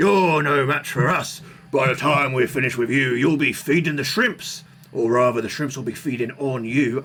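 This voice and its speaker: In a put-on character voice, a man growls at a medium pitch in a gruff manner, with clear background noise behind him. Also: moderate pace. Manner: menacing, taunting.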